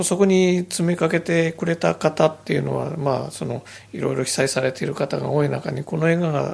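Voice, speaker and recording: At a fairly quick pace and fairly high pitch, a man talks with fairly even intonation in a normal speaking voice. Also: hardly any pauses. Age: 50s. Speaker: anime film director. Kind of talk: radio interview, casual conversation.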